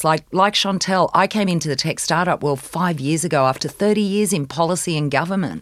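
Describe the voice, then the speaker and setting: With an Australian accent, a woman talks at a fairly quick pace in a fairly low pitch, showing ordinary pitch variation. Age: 50s. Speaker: accelerator director. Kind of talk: panel discussion.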